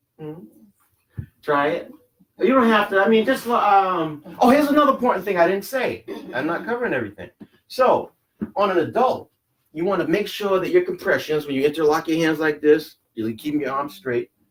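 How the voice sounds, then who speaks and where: A man talks at a fairly quick pace and a high pitch. His pitch swings very widely. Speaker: CPR instructor. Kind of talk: training class demonstration. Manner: fast.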